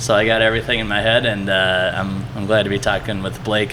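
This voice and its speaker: Against noticeable background noise and audible room echo, a man with an American accent talks very fast in a fairly low pitch with monotone, flat intonation. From Cleveland, Ohio, US Midwest. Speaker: brewery marketing manager. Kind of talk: casual interview. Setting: at the brewery.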